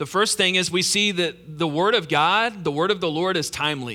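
A man's high-pitched voice, bright and sharp in tone, with ordinary pitch variation. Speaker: pastor. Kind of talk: sermon. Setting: church. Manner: informal, enthusiastic.

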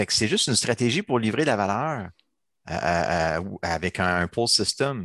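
In a dry, close sound with no echo and a quiet background, a man talks at a fairly slow pace with very even loudness. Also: fairly low pitch for a man, lively intonation. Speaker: agile coach and trainer. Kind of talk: casual chat. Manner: animated.

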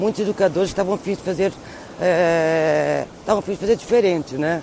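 A woman's fairly low voice at a moderate pace with ordinary pitch variation, over noticeable background noise. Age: 50s. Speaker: vocational educator. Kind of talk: recorded testimony.

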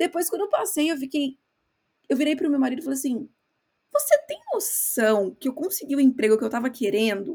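A woman's high-pitched voice, dark and mellow in tone, with very wide pitch swings at a fairly quick pace. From Brazil. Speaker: podcast co-host, marketing worker. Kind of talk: casual chat.

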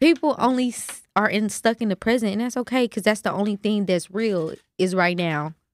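Here is a woman with an ordinary speaking voice and an American accent, fairly high in pitch with ordinary pitch variation. She talks at a fairly quick pace, and the sound is dry and close with no echo. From Kansas City. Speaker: rapper. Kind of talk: casual chat.

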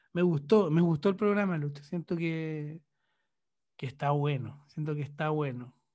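Speaking with a Chilean accent, a man has a dark, mellow tone. He goes at a fairly slow pace with ordinary pitch variation. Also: fairly high pitch for a man. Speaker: podcast co-host, journalist. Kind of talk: casual chat.

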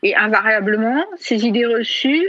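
Her voice high, a woman speaks at a fairly slow pace. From France. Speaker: feminist writer. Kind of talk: interview.

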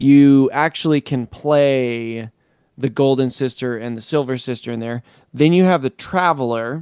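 Here a man speaks in an unremarkable speaking voice at a fairly slow pace. His pitch varies in an ordinary way, and the sound is dry and close with no echo. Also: medium pitch for a man. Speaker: podcast co-host. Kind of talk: casual chat.

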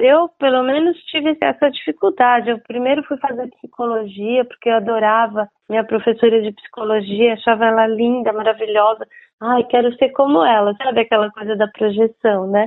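Here is a woman with an ordinary speaking voice, pitched fairly high. She speaks at a moderate pace with ordinary pitch variation. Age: 60s. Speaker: book publisher and former journalist. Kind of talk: interview.

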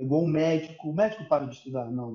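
This man's voice sits fairly high in pitch. His pitch varies in an ordinary way. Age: 30s. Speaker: percussionist. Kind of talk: casual chat.

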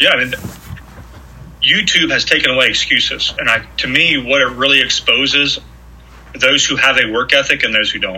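A man with an American accent at a fairly quick pace, with long, frequent pauses and noticeable background noise. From southeastern Ohio. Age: 40s. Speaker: preacher and coach, former college football player. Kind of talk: casual interview. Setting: at host's dining room table.

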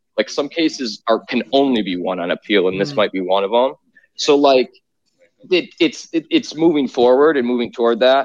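In a dry, close sound with no echo, a man of medium pitch speaks at a fairly quick pace with lively intonation, in an ordinary speaking voice. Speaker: lawyer. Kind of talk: legal commentary.

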